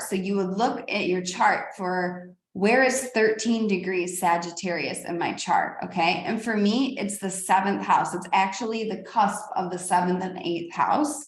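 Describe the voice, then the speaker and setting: In a room with audible echo, a woman speaks fairly slowly at a medium pitch, her pitch varying in an ordinary way. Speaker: astrologer and spiritual teacher. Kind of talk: spiritual teaching monologue. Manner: animated.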